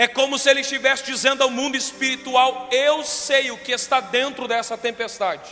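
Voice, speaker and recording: A raised, projected voice comes through noticeable background noise at a moderate pace with a monotone, flat intonation. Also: man, extremely high pitch for a man. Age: 20s. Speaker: pastor. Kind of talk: sermon. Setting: church.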